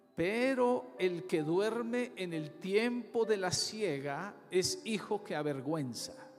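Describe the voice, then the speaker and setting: A high-pitched man speaks at a very slow pace with hardly any pauses and very wide pitch swings. Audible room echo and music in the background accompany him. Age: 60s. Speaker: pastor. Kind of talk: sermon.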